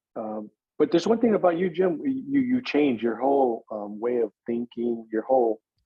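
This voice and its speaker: A man with an American accent speaks in a plain, everyday voice at medium pitch, moving at a moderate pace with lively intonation. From Northern California. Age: 60s. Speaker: adoptee sharing his life story. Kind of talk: personal testimony in podcast interview.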